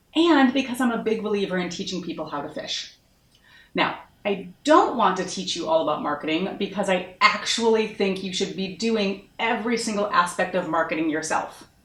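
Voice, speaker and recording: An animated woman with an American accent, with audible room echo and noticeable background noise. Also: medium pitch for a woman, lively intonation, moderate pace. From US Northeast, Massachusetts. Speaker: marketing consultant. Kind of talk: online course introduction.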